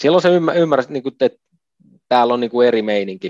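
The sound is dry and close, with no echo. In it, a man speaks at a fairly quick pace. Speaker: retired ice hockey player. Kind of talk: interview. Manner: halting.

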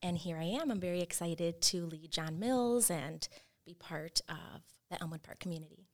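An unremarkable speaking voice, a woman's, fairly low in pitch with ordinary pitch variation, big swings in loudness, a moderate pace and an American accent. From Chicago area. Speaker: assistant principal. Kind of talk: casual chat.

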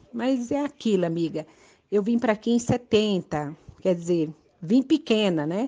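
A woman speaks fairly slowly in a fairly high voice with a dark, mellow tone. Her intonation is lively. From Brazil, Northeast (Pernambuco). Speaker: adult education student. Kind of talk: recorded voice message.

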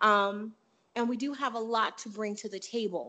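Bright and sharp in tone, this voice moves at a moderate pace with an American accent. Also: woman. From Chicago, US Midwest. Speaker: polyglot language learner. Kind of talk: interview.

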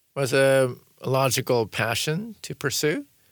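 Recorded very cleanly against a silent background, a man with an American accent has an ordinary speaking voice at medium pitch, with ordinary pitch variation. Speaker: author and designer. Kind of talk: interview conversation. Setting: studio.

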